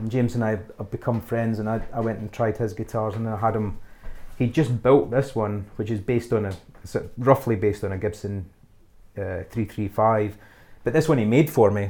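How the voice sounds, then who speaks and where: With a west of Scotland accent, a man talks at a fairly quick pace in a fairly low, dark, mellow voice with ordinary pitch variation. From west of Scotland, small town near Glasgow. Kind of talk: casual interview. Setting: home studio. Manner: halting, many fillers and repeats.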